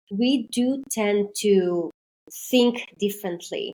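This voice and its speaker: The voice is somewhat breathy, with a Greek accent and lively intonation. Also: woman. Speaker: maritime intercultural trainer. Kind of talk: podcast interview.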